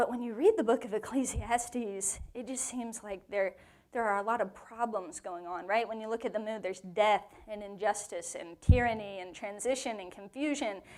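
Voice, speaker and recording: Animated in tone, a woman talks at a moderate pace in a fairly high pitch with ordinary pitch variation. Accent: Southern US. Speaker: women's Bible study teacher. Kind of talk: Bible teaching to a live group. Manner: conversational, animated.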